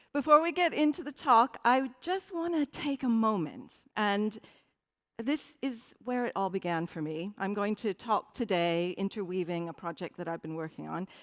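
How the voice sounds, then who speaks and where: With a slight American accent, a woman speaks at a moderate pace and a fairly high pitch with very wide pitch swings, in a very clean recording with a silent background and a dry, close sound with no echo. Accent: slightly American. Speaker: design strategy director, conference speaker. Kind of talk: conference talk.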